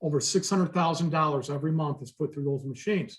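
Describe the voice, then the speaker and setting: This man's pitch sits fairly high. His intonation stays fairly even. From Chicago. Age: 50s. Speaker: business applicant. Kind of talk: public meeting Q&A. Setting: remote video meeting. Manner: halting.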